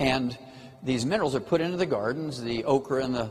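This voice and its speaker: Amid noticeable background noise, a man at a medium pitch speaks at a fairly quick pace with ordinary pitch variation. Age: 70s. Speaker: health lecturer. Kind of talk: lecture. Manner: animated.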